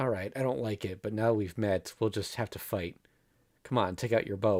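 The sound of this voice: The clip has an unforced reading voice. Its pitch moves in an ordinary way.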